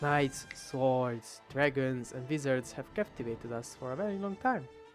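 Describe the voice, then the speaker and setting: With music in the background, a man speaks at a moderate pace with a medium pitch. He has a strong non-native accent and ordinary pitch variation. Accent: thick non-native English. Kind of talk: video essay narration. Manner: rambling, casual.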